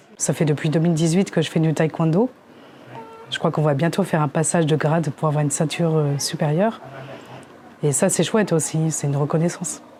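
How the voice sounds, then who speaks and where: Against music in the background, a woman with a very deep, low pitch talks at a fairly quick pace, broken by long, frequent pauses. Her intonation is fairly even and her loudness very even. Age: 30s. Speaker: visually impaired taekwondo student. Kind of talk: documentary interview. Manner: halting.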